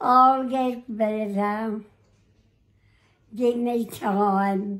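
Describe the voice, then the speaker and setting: A woman speaks at a fairly high pitch with monotone, flat intonation. The background is quiet. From Australia. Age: 80s+. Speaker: elderly resident. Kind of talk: casual talk with family. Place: home room. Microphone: phone near.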